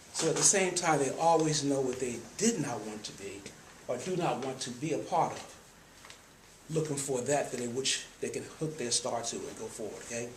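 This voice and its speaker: A man with a fairly high pitch and an American accent talks with lively intonation at a moderate pace. Audible room echo and noticeable background noise accompany him. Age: 50s. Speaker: nonprofit trustee. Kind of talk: speech to an audience.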